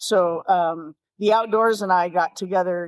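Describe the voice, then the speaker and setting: In an American accent, a woman talks at a medium pitch in a very clean recording with a silent background and a dry, close sound with no echo. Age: 60s. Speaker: fly fishing guide and shop owner. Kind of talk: interview storytelling. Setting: podcast interview. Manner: animated.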